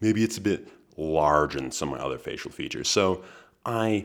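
A man speaks at a moderate pace. His voice is very deep and low, with vocal fry. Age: 20s. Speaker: podcast host. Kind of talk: solo monologue.

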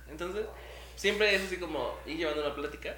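A man with a Mexican accent, animated in tone and fairly quick in pace, amid noticeable background noise and audible room echo. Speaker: podcast co-host. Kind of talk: casual chat.

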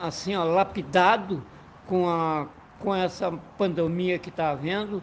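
Fairly even in intonation, a man speaks at a high pitch. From Cruz Alta, Rio Grande do Sul, Brazil. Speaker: retired railway worker. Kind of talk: panel discussion. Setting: remote call. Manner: halting.

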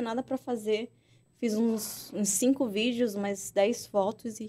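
Recorded very cleanly with a silent background, a woman talks at a fairly slow pace in a dark, mellow tone with fairly high pitch. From Amazonas, Brazil. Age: 20s. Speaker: beauty pageant queen. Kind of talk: casual chat.

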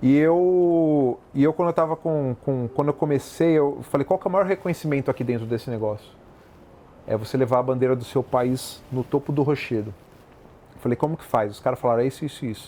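A man talks at a fairly quick pace in a fairly high pitch, with ordinary pitch variation and a dark, mellow tone. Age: 30s. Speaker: lawyer and entrepreneur. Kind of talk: interview. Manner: animated.

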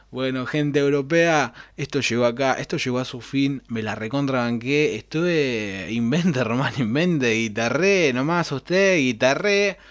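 In a Rioplatense accent, a man speaks at a fairly slow pace with hardly any pauses. His pitch is medium, with ordinary pitch variation. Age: 20s. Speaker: podcast host. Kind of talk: casual solo monologue. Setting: home recording at computer.

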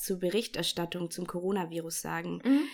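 Here is a woman with a normal speaking voice and medium pitch. She goes at a moderate pace with ordinary pitch variation. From Bavaria, Germany. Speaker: podcast host. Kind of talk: casual chat; informative monologue.

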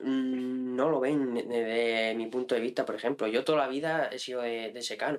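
Here is a man with an ordinary speaking voice, talking at a moderate pace with fairly even intonation. He leaves hardly any pauses. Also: medium pitch for a man. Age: 20s. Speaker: farmer and hunter. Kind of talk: casual interview. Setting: in-person studio.

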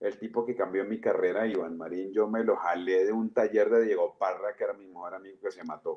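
A man speaks in an unremarkable speaking voice at medium pitch. His intonation is fairly even. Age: 40s. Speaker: comedian and storyteller. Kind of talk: casual chat.

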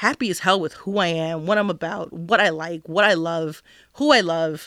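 A woman's normal speaking voice, fairly low in pitch, with ordinary pitch variation and a fairly slow pace, on a very clean recording with a silent background. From New Jersey. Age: 30s. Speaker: podcast guest, grad student and mother. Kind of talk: casual chat. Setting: studio.

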